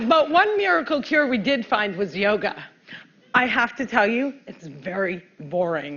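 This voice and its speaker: Speaking fairly slowly in a New Jersey accent, a woman uses a fairly high pitch with very wide pitch swings. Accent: New Jersey American. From New Jersey, US. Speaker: comedian. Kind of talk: stand-up. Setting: stage with audience.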